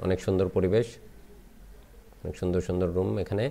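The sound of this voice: Low-pitched, with vocal fry and a dark, mellow tone, a man speaks at a moderate pace with fairly even intonation.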